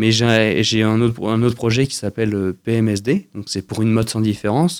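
A man's medium-pitched voice at a moderate pace, in a very clean recording with a silent background. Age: 20s. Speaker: fashion designer. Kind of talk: radio interview. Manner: halting, many repetitions.

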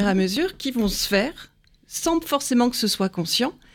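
Her pitch swings very widely as the woman talks at a fairly slow pace. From Paris, France. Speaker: hypnotherapist and psychoanalyst. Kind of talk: interview.

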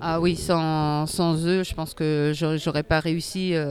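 The woman's pitch is fairly low, and her intonation is monotone and flat. She speaks at a very slow pace. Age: 40s. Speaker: para sitting volleyball athlete. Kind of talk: interview. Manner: halting, many hesitations.

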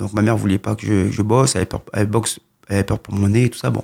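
A man's fairly low voice with vocal fry at a very fast pace, in a very clean recording with a silent background. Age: 40s. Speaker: boxing coach. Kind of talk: radio interview.

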